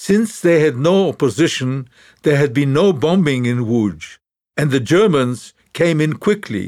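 In an ordinary speaking voice, a man with a fairly high pitch talks at a fairly slow pace with lively intonation and very even loudness, on a very clean recording with a silent background. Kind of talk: memoir audiobook narration, reading aloud. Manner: measured, solemn; reflective, sombre storytelling.

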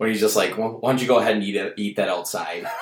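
Here is a man with a strong Minnesota accent. His pitch is medium. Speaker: stand-up comedian and bartender. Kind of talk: casual chat.

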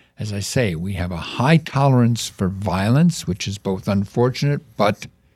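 With an American accent, a man speaks in a dark, mellow tone with fairly low pitch and lively intonation. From US Midwest, Chicago. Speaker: counterterrorism expert. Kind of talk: interview. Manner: halting.

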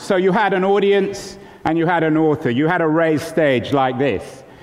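A fairly high-pitched man with an American accent at a fairly slow pace, ordinary pitch variation, audible room echo and noticeable background noise. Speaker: author. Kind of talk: lecture. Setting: stage with audience. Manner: animated.

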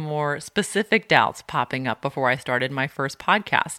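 Her tone bright and sharp, a woman speaks with a very deep, low pitch in a dry, close sound with no echo and a very clean recording with a silent background. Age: 30s. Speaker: podcast host. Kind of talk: solo self-help podcast monologue.

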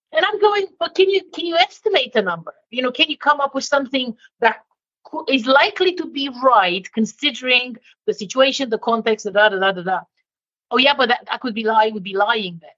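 With a slight non-native accent, a woman speaks fast-ish at a high pitch, her voice showing very wide pitch swings and big swings in loudness. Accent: slight foreign twang in English. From Romania. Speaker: leadership consultant. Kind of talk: interview. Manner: direct.

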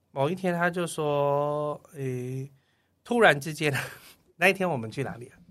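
Speaking with a Taiwanese accent at a moderate pace, a man with fairly high pitch shows big swings in loudness and long, frequent pauses. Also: ordinary pitch variation, very clean recording, silent background. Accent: Taiwanese Mandarin. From Taiwan, Kaohsiung. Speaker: tour leader and travel agent. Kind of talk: casual interview. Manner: clear standard diction.

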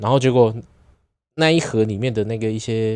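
A man speaks at a medium pitch. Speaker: podcast co-host. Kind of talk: casual chat.

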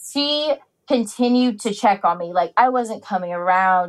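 Her voice is a plain, everyday voice with a fairly high pitch. The woman keeps a moderate pace and ordinary pitch variation. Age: 30s. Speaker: university student, formerly incarcerated. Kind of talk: interview.

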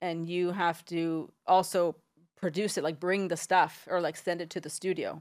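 A woman with a fairly low pitch speaks at a moderate pace in a monotone, flat intonation. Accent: American. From San Diego, US Southwest. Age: 40s. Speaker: entrepreneur. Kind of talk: interview.

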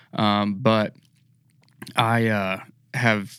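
A man's fairly low voice with a bright, sharp tone, fairly even intonation and an American accent, on a very clean recording with a silent background. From Texas. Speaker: outdoor TV videographer. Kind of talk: casual interview.

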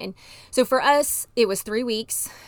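On a very clean recording with a silent background, a woman speaks at a moderate pace in a Texan accent with fairly even intonation. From Texas, Dallas. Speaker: marriage and family therapist. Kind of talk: personal testimony interview.

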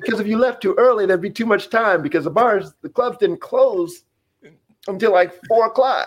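With an American accent, the man talks at a moderate pace in a high pitch with lively intonation. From Wyoming, US. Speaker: retired baseball player. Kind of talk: interview.

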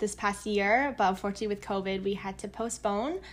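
At a moderate pace and medium pitch, a woman with a plain, everyday voice speaks with fairly even intonation on a very clean recording with a silent background. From United States. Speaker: tour manager. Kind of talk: casual interview chat.

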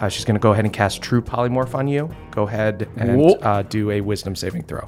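The voice reads in an unforced way while its pitch varies normally.

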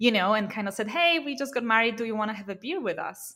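Here a woman speaks with a Polish accent. Her voice is fairly high-pitched, with ordinary pitch variation. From Poland. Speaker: startup founder, content marketing agency owner. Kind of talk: interview.

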